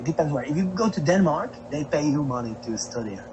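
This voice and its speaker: Noticeable background noise plus audible room echo. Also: man. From Slovakia. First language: Slovak. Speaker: traveling musician. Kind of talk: casual chat.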